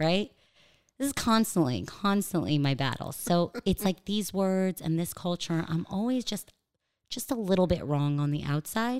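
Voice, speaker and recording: In a Californian accent, a woman at a medium pitch makes very wide pitch swings on a very clean recording with a silent background. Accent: American (California). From US, Los Angeles. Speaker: stand-up comedian. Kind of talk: casual interview chat. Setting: studio, across a table.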